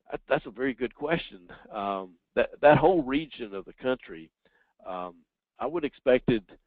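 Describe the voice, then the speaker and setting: Lively intonation marks this man's speech in a Southern US accent. He talks at a fairly quick pace. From US South. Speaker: professor. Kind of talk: webinar Q&A. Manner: halting, many fillers.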